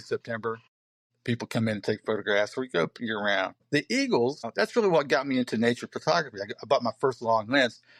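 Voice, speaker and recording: An Appalachian accent from a man at medium pitch and a very fast pace, the sound dry and close with no echo and the background quiet. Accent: Appalachian American. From southern West Virginia. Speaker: poet and photographer. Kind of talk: casual chat. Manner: halting.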